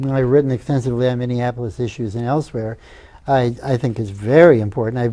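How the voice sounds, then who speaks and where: Speaking at a very fast pace, a man uses a dark, mellow tone at medium pitch with fairly even intonation. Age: 70s. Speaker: civic activist. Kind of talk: casual interview on local TV.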